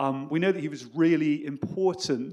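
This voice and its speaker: In a British accent, a man speaks with a fairly high pitch. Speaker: history professor. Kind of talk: academic panel talk. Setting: stage with audience. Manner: fast; halting.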